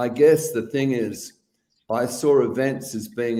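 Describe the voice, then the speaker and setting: A man with a slight Australian accent talks at a fairly slow pace and medium pitch. His tone is dark and mellow, and his intonation fairly even. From Western Australia. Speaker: events company CEO. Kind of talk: interview conversation.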